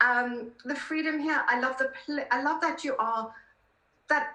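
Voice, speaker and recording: With a raised, projected voice and a bright, sharp tone, a woman speaks at a high pitch and a moderate pace amid audible room echo. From South Africa. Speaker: political columnist. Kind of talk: interview conversation.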